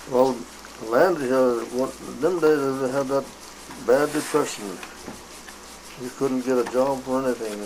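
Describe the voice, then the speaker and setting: With long, frequent pauses and a fairly slow pace, a man speaks in fairly even intonation over noticeable background noise. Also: medium pitch for a man. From Wisconsin, USA. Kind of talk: interview answer. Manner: hesitant, rambling.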